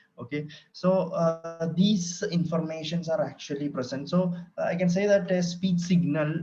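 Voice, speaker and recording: The speech comes at a fairly slow pace with fairly even intonation, and the room's echo is audible. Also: man. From Kerala, India. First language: Malayalam. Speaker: lecturer. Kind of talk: lecture. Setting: online session from home. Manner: hesitant, many fillers.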